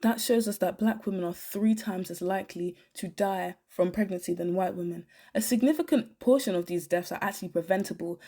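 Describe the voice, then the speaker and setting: The voice has a dark, mellow tone and ordinary pitch variation, moving at a fairly quick pace with hardly any pauses. The recording is very clean, with a silent background. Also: woman, medium pitch for a woman. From Britain. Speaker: YouTuber. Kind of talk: commentary video monologue.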